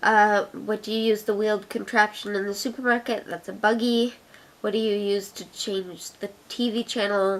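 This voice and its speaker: Monotone, flat female voice, fairly high in pitch, with an Ottawa accent. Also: moderate pace. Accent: Ottawa Canadian. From Canada, Ottawa. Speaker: video blogger. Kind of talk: casual chat.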